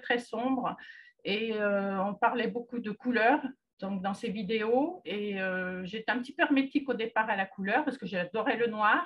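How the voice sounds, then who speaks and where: A woman's fairly slow speech carries ordinary pitch variation. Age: 60s. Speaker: client giving testimonial, retired secretary. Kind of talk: testimony. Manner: halting, frequent hesitations.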